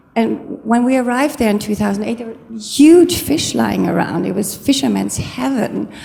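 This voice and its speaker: A woman with a German accent at a moderate pace, hardly any pauses, audible room echo and noticeable background noise. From Germany. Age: 50s. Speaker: audience member asking a question. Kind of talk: audience question at a lecture. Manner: halting.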